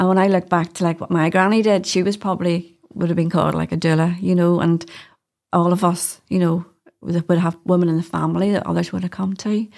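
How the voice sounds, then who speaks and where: A woman speaks at a fairly quick pace and a fairly low pitch in a Northern Irish accent, with monotone, flat intonation. The recording is very clean, with a silent background. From Northern Ireland. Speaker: doula. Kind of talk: casual chat.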